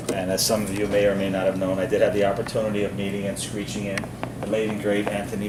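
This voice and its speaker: A man speaks very fast at a fairly low pitch with ordinary pitch variation. Audible room echo and noticeable background noise fill the recording. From Newfoundland. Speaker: bar host performing screech-in ceremony. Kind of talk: performance for tourists. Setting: bar with group of tourists. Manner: animated.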